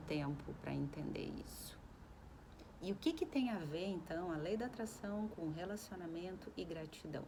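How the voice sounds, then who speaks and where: The room echo is audible as a woman speaks at a medium pitch. Her tone is calm, with ordinary pitch variation. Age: 40s. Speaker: self-help vlogger. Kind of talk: casual reflective monologue. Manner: calm, conversational.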